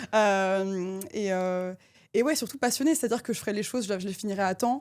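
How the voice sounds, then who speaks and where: Fairly quick pace from a woman, with ordinary pitch variation. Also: medium pitch for a woman. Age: 20s. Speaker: defense and space consultant. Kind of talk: mock job interview. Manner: fast; animated.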